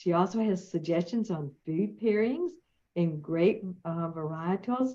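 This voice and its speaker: With a Southern US accent, a woman talks at a fairly slow pace and medium pitch. Her tone is warm and enthusiastic. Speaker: podcast host. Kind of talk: interview introduction. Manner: warm, enthusiastic.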